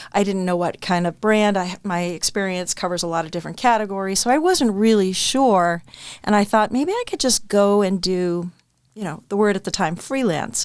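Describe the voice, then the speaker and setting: On a very clean recording with a silent background, a woman speaks with an American accent at a medium pitch. Her pace is moderate and her pitch variation ordinary. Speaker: marketing executive. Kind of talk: casual interview chat.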